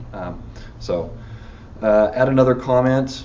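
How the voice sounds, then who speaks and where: A man speaks with audible room echo. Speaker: software engineer giving a tech talk. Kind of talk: technical talk with live demo. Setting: meetup talk with live audience. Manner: fast; halting, many fillers.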